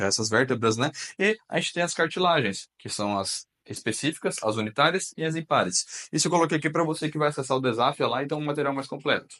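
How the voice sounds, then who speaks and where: The voice has a bright, sharp tone and lively intonation at a fairly quick pace. The sound is dry and close, with no echo. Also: man. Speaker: teacher. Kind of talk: lecture. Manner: animated.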